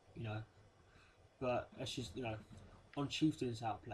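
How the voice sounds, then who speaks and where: A man talks at a fairly quick pace. His voice sits at medium pitch and sounds somewhat breathy. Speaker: gaming youtuber. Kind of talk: gameplay commentary. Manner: halting, many fillers.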